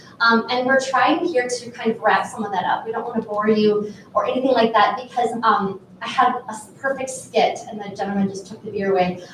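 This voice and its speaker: Loudness swings in big ways at a fairly quick pace, with ordinary pitch variation. Noticeable background noise sits behind the voice. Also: woman, fairly high pitch for a woman. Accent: Minnesotan. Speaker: panel moderator at a marketing conference. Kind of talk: conference panel moderation. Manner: casual, filler-heavy.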